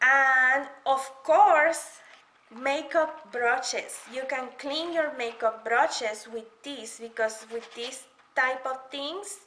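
A woman speaks at a high pitch and a slow pace, her tone bright and sharp. Her pitch varies an ordinary amount, and the room adds audible echo.

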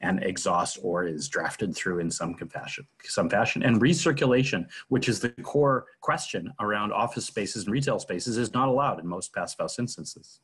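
At a moderate pace, a man speaks with lively intonation over a quiet background. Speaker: webinar host. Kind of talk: prepared talk on a video call. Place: home room. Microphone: video call.

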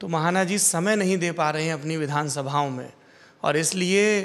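A man speaks at a fairly slow pace with a high pitch. His pitch varies in an ordinary way. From Kanpur, Uttar Pradesh, India; Uttar Pradesh, India. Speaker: journalist, interviewer. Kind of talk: interview. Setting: on location in Kanpur. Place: home room. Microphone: handheld.

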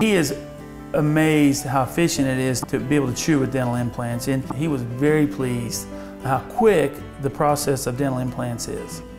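Over music in the background, a man talks at a moderate pace with a medium pitch and ordinary pitch variation. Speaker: dentist. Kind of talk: interview answer.

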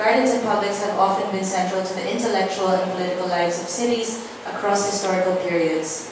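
Speech comes at a very fast pace with fairly even intonation, strong room echo and noticeable background noise. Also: woman, hardly any pauses. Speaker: event host. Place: hall.

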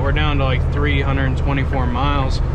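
Loud background noise surrounds a man as he talks. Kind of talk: casual vlog chat. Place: car.

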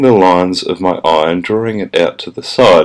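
The speaker has an Australian accent. Noticeable background noise is present. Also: man. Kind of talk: comedic makeup tutorial voice-over.

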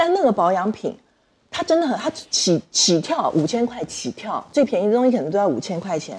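With very wide pitch swings, a woman talks at a fairly quick pace in a fairly high pitch. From Taiwan. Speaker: panel guest; guest. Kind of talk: panel discussion. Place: studio.

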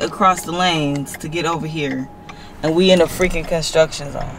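The delivery keeps a moderate pace while noticeable background noise is present. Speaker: vlogger. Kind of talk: casual vlog chat. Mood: frustrated, exasperated. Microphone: phone near.

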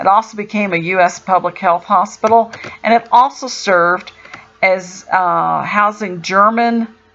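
Light background noise sits behind a woman's voice. Her intonation stays fairly even. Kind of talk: casual travel commentary. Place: car. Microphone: camera far.

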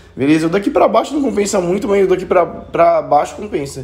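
This is a man speaking. He has a Brazilian accent. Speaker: gaming youtuber. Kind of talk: tutorial.

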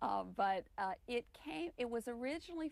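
A woman speaks in an American accent at a moderate pace. The sound is dry with no echo. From US South. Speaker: author and magazine editor. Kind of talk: interview. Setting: studio. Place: studio. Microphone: lapel.

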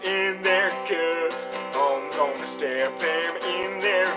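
A man talks at a very slow pace while clear music plays in the background. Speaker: video blogger. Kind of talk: casual vlog chat, argumentative. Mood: sarcastic, mocking.

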